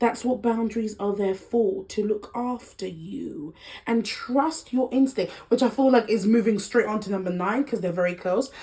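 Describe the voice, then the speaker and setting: A somewhat breathy woman's voice, fairly high in pitch with a dark, mellow tone, at a moderate pace. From Democratic Republic of Congo heritage. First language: Lingala. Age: 20s. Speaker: lifestyle vlogger. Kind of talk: casual chat.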